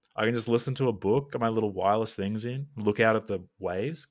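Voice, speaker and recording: In an Australian accent, a man speaks at a medium pitch with ordinary pitch variation. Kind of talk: casual chat. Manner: jokey.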